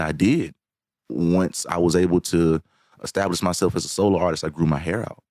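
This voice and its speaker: A man with a Southern US accent speaks at a moderate pace with fairly even intonation. His pitch is very deep and low, and the sound is dry and close with no echo. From Alabama, US South. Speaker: singer and songwriter. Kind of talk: podcast interview. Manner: halting, many repetitions.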